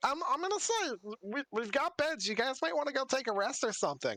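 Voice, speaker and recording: Doing a put-on character voice, a man talks fairly quickly at an extremely high pitch. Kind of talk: laid-back modern slang. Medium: actual play. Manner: stammering, halting, casual.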